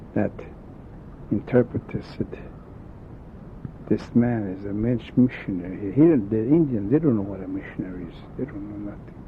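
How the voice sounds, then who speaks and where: Amid noticeable background noise, a man with a fairly low voice speaks with ordinary pitch variation, big swings in loudness and long, frequent pauses. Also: moderate pace. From South Dakota. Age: old. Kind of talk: oral history storytelling. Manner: halting.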